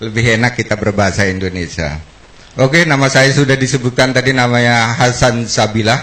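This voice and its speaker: A man talks at a fairly quick pace. His loudness stays very even. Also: medium pitch for a man, ordinary pitch variation. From South Kalimantan, Banjarmasin. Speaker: product formulator and company founder. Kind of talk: product presentation.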